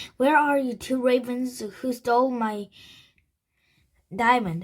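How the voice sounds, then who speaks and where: A woman's put-on character voice, raspy, raised and projected, high in pitch, at a fairly slow pace. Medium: read story. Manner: mocking, menacing.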